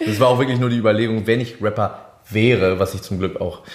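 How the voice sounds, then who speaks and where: Talking at a very fast pace, a man uses a fairly low pitch and fairly even intonation. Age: 20s. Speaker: singer. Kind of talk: casual chat.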